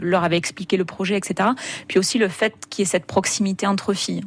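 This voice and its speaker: A woman with an ordinary speaking voice talks at a fairly quick pace and a medium pitch. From southern France, Hérault (Béziers area). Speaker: travel blogger and photographer. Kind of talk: radio interview.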